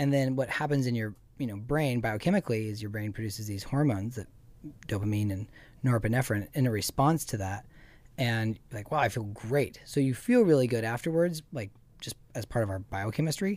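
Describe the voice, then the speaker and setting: A man with a plain, everyday voice, medium pitch, ordinary pitch variation and a fairly quick pace, on a very clean recording with a silent background. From Montana. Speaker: ice bath and breathwork event host. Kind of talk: interview. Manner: casual.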